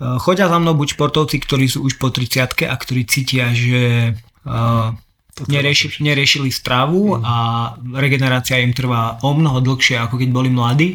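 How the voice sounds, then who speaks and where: A man talks at a moderate pace and medium pitch. He has an unremarkable speaking voice with ordinary pitch variation. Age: 30s. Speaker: sports nutrition advisor. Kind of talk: interview. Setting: in person at guest's place.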